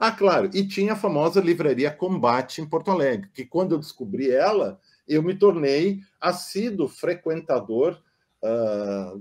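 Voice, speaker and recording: Over a quiet background, a man with a fairly high pitch speaks at a fairly slow pace, his pitch swinging very widely. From southern Brazil, German-speaking community. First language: German (speaking Portuguese). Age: 60s. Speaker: psychoanalyst. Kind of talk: casual interview conversation. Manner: hesitant, with filler sounds.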